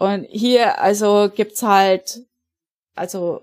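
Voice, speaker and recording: A woman speaks with a medium pitch and ordinary pitch variation in a normal speaking voice. The recording is very clean, with a silent background. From Germany, Upper Palatinate (Bavaria). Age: 40s. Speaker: emigrant. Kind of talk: interview.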